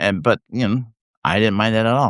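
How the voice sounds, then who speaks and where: Dry and close with no echo, the recording has a quiet background. A man with a Canadian accent speaks at a fairly low pitch with ordinary pitch variation. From Canada. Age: 60s. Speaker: writer and livestream host. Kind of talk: casual live chat. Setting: live video stream. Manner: halting, many fillers.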